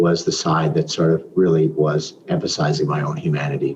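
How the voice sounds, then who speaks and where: Noticeable background noise runs underneath. A man speaks at a moderate pace. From Canada, Toronto. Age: 60s. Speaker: business consultant and mentor. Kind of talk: interview.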